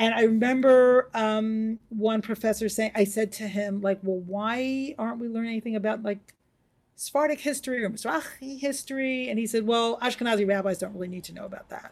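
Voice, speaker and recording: An ordinary speaking voice with an American accent, fairly quick in pace, with fairly even intonation but big swings in loudness. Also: woman, fairly high pitch for a woman. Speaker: rabbi. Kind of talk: interview.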